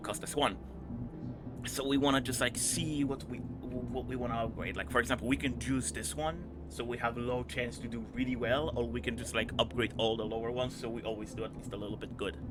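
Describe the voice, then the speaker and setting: Music plays in the background as a man talks at a fairly quick pace. He has a medium pitch and a non-native accent. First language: not English. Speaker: game streamer. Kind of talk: gameplay commentary with reading game text aloud. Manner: casual, hesitant with fillers.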